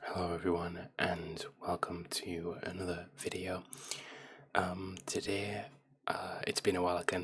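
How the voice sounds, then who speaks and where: Someone soft-spoken with a gentle tone talks over noticeable background noise. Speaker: ASMR creator. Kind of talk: soft-spoken ASMR ramble to camera; casual personal talk to camera. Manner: soft-spoken, gentle.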